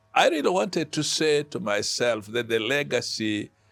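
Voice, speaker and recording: Vocal fry marks this man's voice. He speaks at a fairly slow pace with very wide pitch swings. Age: 70s. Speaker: pastor. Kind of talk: casual chat.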